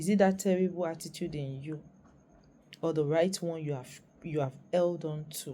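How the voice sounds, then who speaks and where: A woman with a Nigerian accent speaks at a moderate pace with a fairly low pitch and fairly even intonation. Her speech has long, frequent pauses. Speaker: YouTuber. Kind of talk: vlog monologue.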